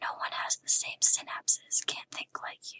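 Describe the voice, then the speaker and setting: Whispering at a moderate pace. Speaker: ASMR artist. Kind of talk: poetry reading. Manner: whispered; soft-spoken, relaxing.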